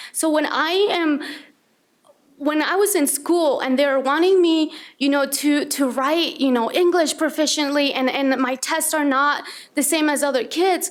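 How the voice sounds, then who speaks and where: A woman with a Spanish accent talks at a fairly slow pace in a high pitch, with ordinary pitch variation and very even loudness. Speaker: school staff member speaking at board meeting. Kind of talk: public comment. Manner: halting, repeating words.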